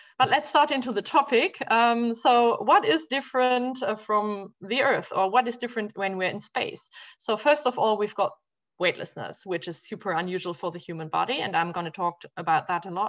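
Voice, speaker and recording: A woman's fairly high voice in a German accent, with lively intonation at a moderate pace over a quiet background. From Germany. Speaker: physician and space physiology researcher. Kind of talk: academic talk. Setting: video call.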